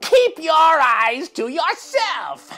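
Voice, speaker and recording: Faint music sits behind a put-on character voice that is shrill and extremely high, with very wide pitch swings. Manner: angry, scolding.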